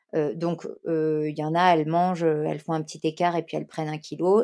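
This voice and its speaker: A woman's very deep, low voice, dark and mellow, flat and monotone at a fairly quick pace, on a very clean recording with a silent background. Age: 30s. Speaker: influencer and content creator. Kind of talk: interview. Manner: hesitant, many fillers.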